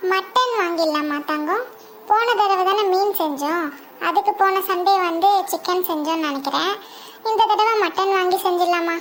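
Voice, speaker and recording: A cartoonish character voice, extremely high in pitch, moves at a fairly slow pace over clear background noise. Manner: soft-spoken, affectionate.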